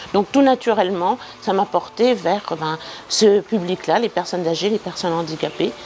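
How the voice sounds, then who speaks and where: A woman at medium pitch with ordinary pitch variation, amid noticeable background noise. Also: moderate pace. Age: 60s. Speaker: retired social worker and volunteer. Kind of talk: interview testimony. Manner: hesitant, with many fillers.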